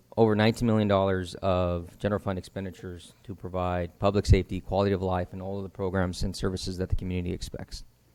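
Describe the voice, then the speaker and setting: At a very fast pace, a man talks with a fairly low pitch and a dark, mellow tone. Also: big swings in loudness. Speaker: city finance staff presenting budget. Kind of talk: budget presentation at council meeting. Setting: city council meeting.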